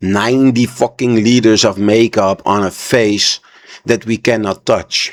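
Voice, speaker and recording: A man at a medium pitch and fairly slow pace, with a non-native accent. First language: not English. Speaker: reaction video creator. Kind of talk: reaction commentary. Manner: animated.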